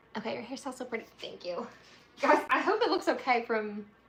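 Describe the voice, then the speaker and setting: Against noticeable background noise, a woman speaks with a Southern US accent. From Tennessee. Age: 20s. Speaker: resin artist and craft video creator. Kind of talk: casual livestream chat.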